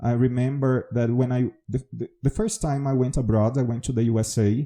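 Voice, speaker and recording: A man speaks with a Brazilian accent at medium pitch and a moderate pace. His tone is dark and mellow, his intonation fairly even, and the sound is dry and close with no echo. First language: Portuguese. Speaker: English teacher. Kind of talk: podcast monologue.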